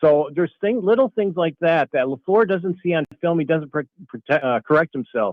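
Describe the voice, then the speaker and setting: This is a man with a plain, everyday voice at a fairly high pitch. His intonation is lively and his pace moderate. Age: 60s. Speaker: caller. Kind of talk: sports talk radio call.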